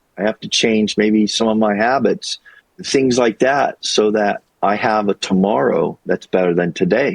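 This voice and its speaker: A man's fairly low voice with an American accent, fairly slow in pace, with ordinary pitch variation. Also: dry, close sound with no echo. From US Midwest and Colorado. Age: 60s. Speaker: YouTuber and retail worker, former teacher. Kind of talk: interview conversation. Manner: reflective, halting with fillers.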